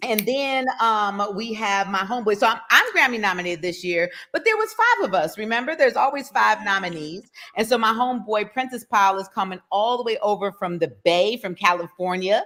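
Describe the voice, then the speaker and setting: A woman with an American accent, fairly high pitch and an animated tone, hardly any pauses, over noticeable background noise. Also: ordinary pitch variation, fairly quick pace. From Detroit, Michigan. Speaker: poet. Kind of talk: interview.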